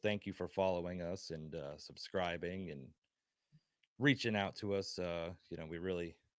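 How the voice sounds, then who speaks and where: A man's very deep, low voice with fairly even intonation, in a very clean recording with a silent background. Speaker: wrestling podcast co-host. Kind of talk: casual chat. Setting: live stream. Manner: monotone.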